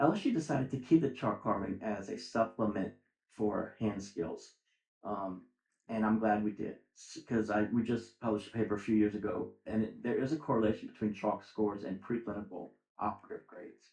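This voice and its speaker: Fairly quick and fairly low, a man's voice with vocal fry and an American accent shows ordinary pitch variation. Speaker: dental school admissions dean. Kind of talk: interview. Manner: fast.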